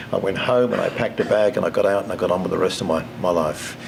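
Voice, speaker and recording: Against noticeable background noise and audible room echo, a man with a fairly low pitch talks very fast with ordinary pitch variation. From England, then Toronto, Canada from age 14. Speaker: keynote speaker. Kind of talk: motivational speech. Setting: conference stage with audience. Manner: halting, many repeats and fillers.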